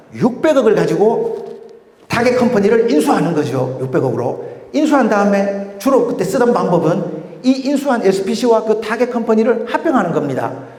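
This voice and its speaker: A man talks in a high pitch with very wide pitch swings and very even loudness. The recording has audible room echo and noticeable background noise. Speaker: M&A and investment expert, lecturer. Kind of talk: lecture. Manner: fast.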